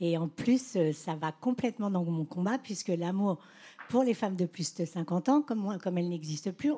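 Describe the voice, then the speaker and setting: A woman's medium-pitched, somewhat breathy voice with a dark, mellow tone, lively intonation and a moderate pace. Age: 60s. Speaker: social media influencer. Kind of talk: panel discussion.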